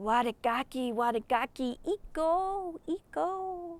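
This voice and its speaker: A put-on character voice talks at a high pitch and a fairly slow pace. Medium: read story.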